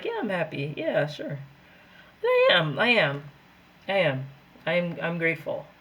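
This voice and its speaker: A woman uses a whiny, put-on character voice with a whiny tone and fairly low pitch. She talks at a moderate pace with long, frequent pauses. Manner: unenthusiastic, whiny.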